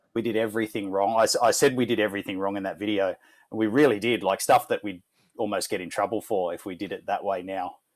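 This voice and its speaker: Fairly low-pitched, a man talks at a very fast pace with an Australian accent and fairly even intonation. The recording is very clean, with a silent background. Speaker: former car magazine editor. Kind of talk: casual chat.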